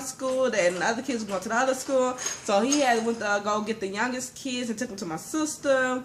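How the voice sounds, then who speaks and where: A woman with a fairly high pitch speaks over noticeable background noise. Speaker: mother. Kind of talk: personal story told to camera. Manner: fast.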